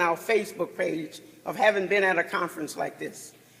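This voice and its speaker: A man with an American accent speaks loudly. His pace is moderate. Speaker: chief judge, panel speaker. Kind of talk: conference panel talk. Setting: conference session with audience.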